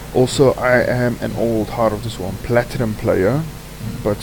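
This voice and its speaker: A man speaks with a South African accent at medium pitch and a moderate pace. His pitch varies in an ordinary way over noticeable background noise. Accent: non-native, South African, sounds a bit off. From South Africa, Cape Town. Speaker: gaming streamer. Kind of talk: gameplay commentary. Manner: casual, with fillers.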